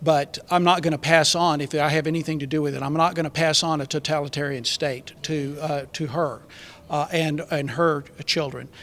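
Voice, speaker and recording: A man with a Texan accent talks at a moderate pace and a fairly high pitch. His intonation is monotone and flat. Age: 60s. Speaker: political candidate. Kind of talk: panel discussion. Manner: halting, many fillers.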